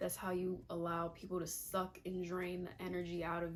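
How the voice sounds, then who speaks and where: A woman talks in a fairly low pitch. Her intonation is flat and monotone. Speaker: lifestyle vlogger. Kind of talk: casual advice monologue. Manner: fast.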